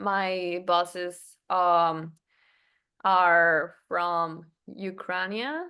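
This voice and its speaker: With a Spanish accent, the speaker has a bright, sharp tone against a quiet background. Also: woman. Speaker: English learner. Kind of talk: language lesson conversation. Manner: halting; slow.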